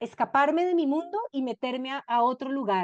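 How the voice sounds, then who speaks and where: A woman with a Cali accent, high-pitched, with very wide pitch swings and a fairly slow pace. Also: dry, close sound with no echo. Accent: Colombian Cali (caleño) Spanish. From Colombia, Cali. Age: 50s. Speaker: novelist. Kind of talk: book club talk.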